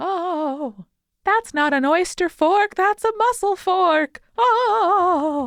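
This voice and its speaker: Using a put-on character voice, a woman pitches it extremely high. Her delivery comes very slowly. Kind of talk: prim, old-fashioned. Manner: creepy.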